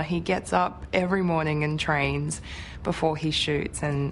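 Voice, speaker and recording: Speaking fairly slowly, a woman talks with an Australian accent. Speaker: actress. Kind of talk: interview answer.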